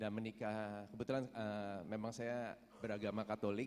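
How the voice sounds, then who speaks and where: A man's fairly low voice at a moderate pace. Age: 50s. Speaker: prison inmate. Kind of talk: testimony. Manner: halting.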